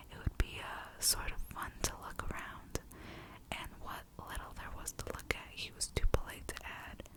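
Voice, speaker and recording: The speaker is whispering at a moderate pace. Noticeable background noise can be heard. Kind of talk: audiobook reading. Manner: whispered.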